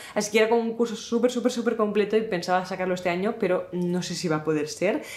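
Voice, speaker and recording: A woman at a fairly quick pace, ordinary pitch variation, audible room echo and noticeable background noise. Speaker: YouTuber and content creator. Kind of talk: casual talking-head vlog. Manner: fast.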